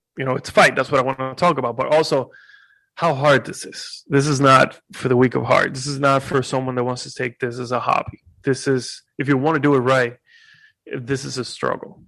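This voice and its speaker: A man with a Spanish accent speaks fairly quickly at medium pitch, his tone bright and sharp but his intonation flat and monotone. His loudness swings widely over a quiet background. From Puerto Rico. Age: 20s. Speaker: YouTuber and content creator. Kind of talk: casual interview.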